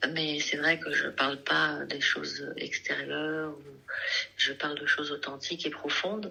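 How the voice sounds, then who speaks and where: Through noticeable background noise, a woman talks at a fairly slow pace in a very deep, low voice. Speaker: singer and artist. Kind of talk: radio interview. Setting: radio studio.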